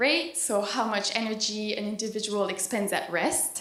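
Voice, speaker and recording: A fairly high-pitched woman's voice at a moderate pace, with audible room echo. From East Coast Canada. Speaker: PhD student and dietitian. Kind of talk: conference presentation. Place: hall. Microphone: handheld.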